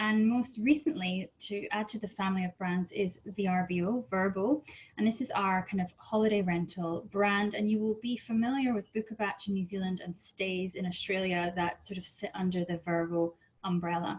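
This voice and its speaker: The voice is somewhat breathy, with ordinary pitch variation. The pace is moderate. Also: woman, medium pitch for a woman. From Scotland, Edinburgh. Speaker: business development manager. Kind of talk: webinar presentation.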